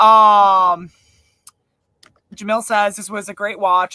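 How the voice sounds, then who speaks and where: A man talks in a raised, projected voice. His tone is bright and sharp. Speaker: online reality game show host. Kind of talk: live stream recap chat. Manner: casual, filler-heavy.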